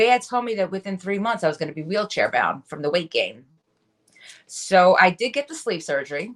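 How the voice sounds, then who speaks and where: At a fairly quick pace, a woman speaks at a medium pitch. Her pitch swings very widely. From New York City area. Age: 40s. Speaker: wellness coach. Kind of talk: podcast interview, personal testimony.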